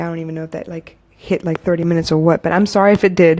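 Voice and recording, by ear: A woman speaks with fairly even intonation at a fairly low pitch. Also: slightly mellow tone.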